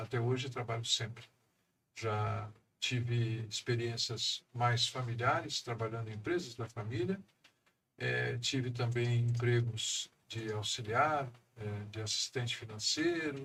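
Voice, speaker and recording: The pace is fairly slow. It is a normal speaking voice. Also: man, medium pitch for a man, fairly even intonation. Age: 60s. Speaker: economist and council president. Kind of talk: podcast interview.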